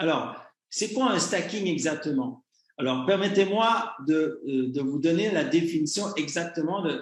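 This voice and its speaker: A high-pitched man with lively intonation at a fairly slow pace. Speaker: communications director for an online business network. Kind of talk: presentation to an online community. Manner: hesitant, many fillers.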